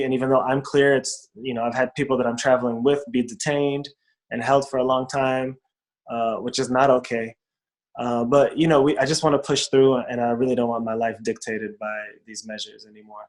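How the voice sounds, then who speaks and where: A man with an unremarkable speaking voice talks fairly quickly at medium pitch with fairly even intonation. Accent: American. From United States. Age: young. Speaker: rapper, performer, storyteller. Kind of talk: interview answer.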